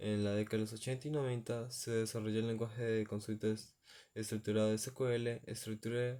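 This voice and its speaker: The voice has a dark, mellow tone with monotone, flat intonation and very even loudness. It moves at a moderate pace on a very clean recording with a silent background. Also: man, medium pitch for a man. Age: 20s. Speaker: university student. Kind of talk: class presentation. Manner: halting.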